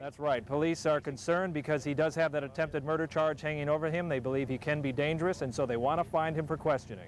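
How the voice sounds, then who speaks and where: A man with a fairly high pitch, at a very fast pace with hardly any pauses. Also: fairly even intonation. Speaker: television news reporter. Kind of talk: TV news report delivery.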